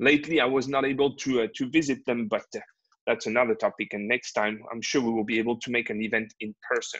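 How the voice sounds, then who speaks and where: A man with a French accent talks at a very fast pace. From France, Normandy. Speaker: river cruise manager and sales representative. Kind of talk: webinar sales presentation. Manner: halting, many fillers.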